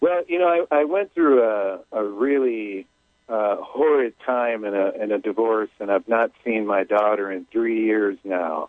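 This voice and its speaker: The recording has an ordinary speaking voice moving at a fairly slow pace. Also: man, medium pitch for a man, lively intonation. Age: 50s. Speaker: caller. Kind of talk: phone-in reading.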